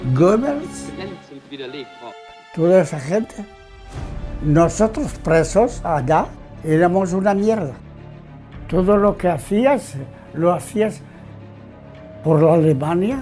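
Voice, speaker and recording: Faint music plays behind a man whose high-pitched voice moves with lively intonation at a very slow pace, broken by long, frequent pauses. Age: 80s+. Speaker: war veteran. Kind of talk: interview answer. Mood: earnest, emotional recollection. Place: home room.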